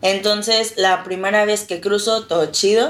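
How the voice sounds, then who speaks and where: The woman's voice sits at a medium pitch. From northern Mexico, Reynosa, Tamaulipas. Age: 20s. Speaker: former inmate. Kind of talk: testimony.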